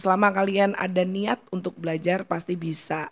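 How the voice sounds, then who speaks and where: The woman talks fairly slowly. There is ordinary variation in her pitch. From Surabaya, East Java; East Java. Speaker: singer; podcast guest. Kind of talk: casual chat; interview answer. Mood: encouraging, warm advice. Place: studio. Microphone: studio mic.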